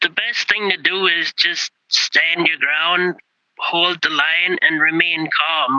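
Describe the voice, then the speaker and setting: A man speaks at a very slow pace in a high voice, with a dry, close sound and no echo. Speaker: farmer and truck driver. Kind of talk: interview.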